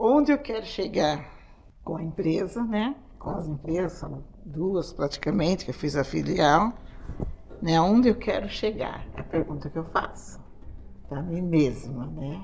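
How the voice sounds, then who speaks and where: Lively intonation carries this fairly slow delivery, which has long, frequent pauses. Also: woman, fairly low pitch for a woman. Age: 60s. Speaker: beauty salon owner, show participant. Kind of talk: casual interview answer.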